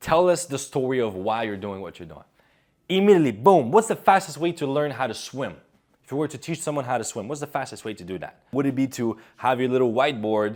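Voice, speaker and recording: With an animated tone, a man speaks at a fairly quick pace and a medium pitch, his voice making very wide pitch swings and big swings in loudness on a very clean recording with a silent background. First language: not English (English is third language). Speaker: public speaking coach. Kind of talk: video essay / advice commentary.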